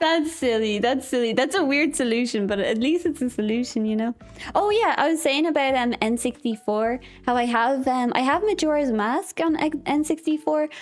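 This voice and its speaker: With an Irish accent, a woman speaks in an animated tone with lively intonation. Her pitch is high and her loudness very even. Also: moderate pace. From Ireland. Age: 20s. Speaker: vtuber streamer. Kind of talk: casual chat. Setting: live stream.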